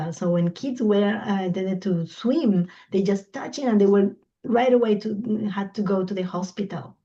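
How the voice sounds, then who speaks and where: A woman speaks at a moderate pace, her voice somewhat breathy. Her tone is dark and mellow, at a medium pitch. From Colombia. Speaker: environmental law expert. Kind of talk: invited talk in online discussion. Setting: video call. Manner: halting, searching for English words.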